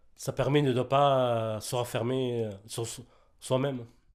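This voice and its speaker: Over a silent background on a very clean recording, a man speaks at medium pitch and a fairly slow pace. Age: 40s. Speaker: resident of supported housing. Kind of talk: interview testimony. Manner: halting.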